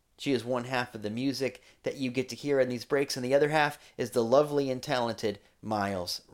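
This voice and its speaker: In a very clean recording with a silent background, a man speaks at a fairly quick pace in a normal speaking voice, with medium pitch, fairly even intonation and big swings in loudness. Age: 40s. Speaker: podcast host and church leader. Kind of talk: casual chat.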